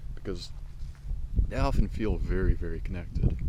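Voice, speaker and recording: The man speaks in a very deep, low pitch at a very fast pace. There is audible room echo. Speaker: podcaster. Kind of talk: personal monologue vlog. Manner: halting.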